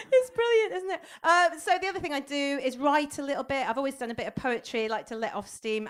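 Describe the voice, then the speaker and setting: A woman speaks at a very fast pace with a high pitch, very wide pitch swings and hardly any pauses. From Somerset, England. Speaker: stand-up comedian. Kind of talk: stand-up comedy set.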